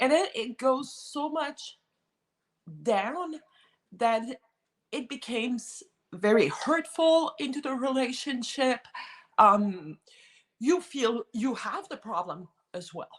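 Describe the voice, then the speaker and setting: Very slowly, a high-pitched woman speaks with a French Canadian accent, leaving long, frequent pauses. Her pitch swings very widely and her loudness shifts a lot. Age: 50s. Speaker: guest sharing personal experience. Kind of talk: testimony in casual chat.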